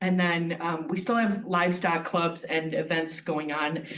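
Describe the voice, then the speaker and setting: A woman at a fairly slow pace with ordinary pitch variation, audible room echo and noticeable background noise. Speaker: extension district director. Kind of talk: meeting report. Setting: county board meeting.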